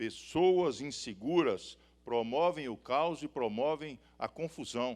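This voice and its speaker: A man with a Minas Gerais accent speaks very slowly, with lively intonation. The recording is very clean, with a silent background. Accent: mineiro. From Minas Gerais, Brazil (Belo Horizonte). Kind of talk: sermon. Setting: stage with audience. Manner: animated.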